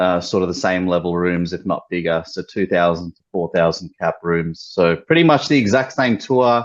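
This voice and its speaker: With an Australian accent, a man with a very deep, low pitch speaks at a moderate pace with ordinary pitch variation and hardly any pauses. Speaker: metal band musician. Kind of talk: interview.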